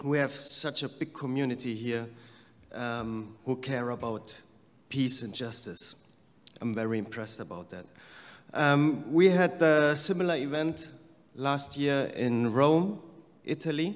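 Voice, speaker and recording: In a room with audible echo, a man speaks very slowly with long, frequent pauses. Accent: German. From Germany. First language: German. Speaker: peace activist. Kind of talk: conference speech.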